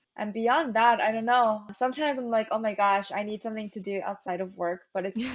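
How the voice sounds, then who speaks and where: Speaking at a fairly quick pace with hardly any pauses, a woman keeps a fairly high pitch and fairly even intonation. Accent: New York. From New York, Flushing Queens. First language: Korean. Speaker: beverage company founder. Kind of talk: interview. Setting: video call.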